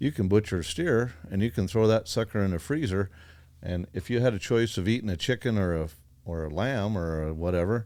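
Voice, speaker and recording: Lively intonation and a fairly quick pace mark a normal speaking voice. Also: man, fairly low pitch for a man. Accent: American. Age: 60s. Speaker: farmer and rancher. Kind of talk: casual chat. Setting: studio.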